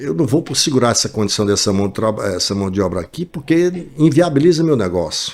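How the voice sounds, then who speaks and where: Very wide pitch swings from a man speaking at a fairly quick pace. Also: medium pitch for a man. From Ceará backcountry, Brazil. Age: 60s. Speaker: business owner in construction retail. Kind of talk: interview. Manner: halting, many repetitions.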